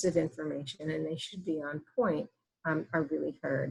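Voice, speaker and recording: With an American accent, a woman speaks at a moderate pace. Her voice is fairly low and somewhat breathy. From US Northeast. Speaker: physician and breastfeeding educator. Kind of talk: webinar presentation. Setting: online webinar.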